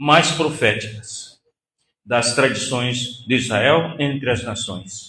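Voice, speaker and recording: Here a man is speaking. His pace is very slow. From Northeast Brazil. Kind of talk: lecture. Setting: synagogue hall with audience.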